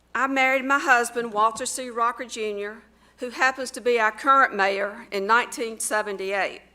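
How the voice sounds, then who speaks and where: A woman with a Southern US accent, fairly high pitch, a bright, sharp tone, fairly even intonation, a moderate pace and big swings in loudness. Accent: Southern US (Georgia). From US South, Georgia. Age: 60s. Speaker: mayoral candidate. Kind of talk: campaign speech. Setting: school assembly with audience.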